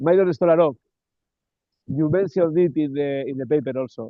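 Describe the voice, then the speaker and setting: A man's fairly high voice with a non-native accent and ordinary pitch variation. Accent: non-native English accent, noticeable. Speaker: interviewer, transpersonal psychology institute host. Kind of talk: interview. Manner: repetitive, hesitant with fillers.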